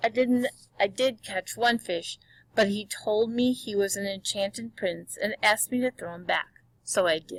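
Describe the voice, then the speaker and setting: A put-on character voice at a moderate pace. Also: female-sounding voice, fairly high pitch for a woman. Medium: read story. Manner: timid.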